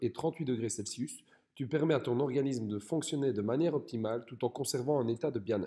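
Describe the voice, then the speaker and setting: A man speaks at a fairly quick pace in a medium pitch. His tone is dark and mellow, with ordinary pitch variation. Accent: Belgian. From Belgium. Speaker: fitness coach. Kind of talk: educational talk. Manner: scripted, clear delivery.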